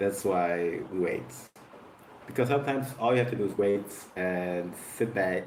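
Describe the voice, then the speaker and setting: A man with a non-native accent at a moderate pace, lively intonation and very even loudness, long and frequent pauses, and audible room echo. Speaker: content creator reacting to videos. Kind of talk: casual reaction commentary. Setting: at home, bright light.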